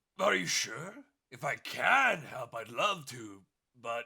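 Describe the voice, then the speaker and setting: Putting on a character voice, a man speaks raspily at a medium pitch and a fairly slow pace. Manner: polite, hesitant.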